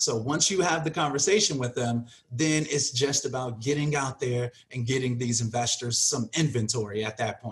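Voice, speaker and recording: A man with an American accent talks at a moderate pace and medium pitch, with hardly any pauses. His voice is somewhat breathy, with ordinary pitch variation. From Chicago suburbs. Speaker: real estate wholesaling coach. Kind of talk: interview.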